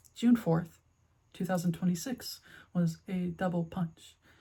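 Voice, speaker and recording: A woman's somewhat breathy, fairly low-pitched voice with a dark, mellow tone. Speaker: video essayist. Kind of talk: personal video essay. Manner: stuttering.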